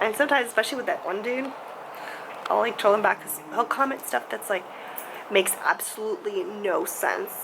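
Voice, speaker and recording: Amid noticeable background noise, a woman with a fairly high pitch speaks with very wide pitch swings, big swings in loudness, and long, frequent pauses. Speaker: vlogger. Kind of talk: casual talk to camera.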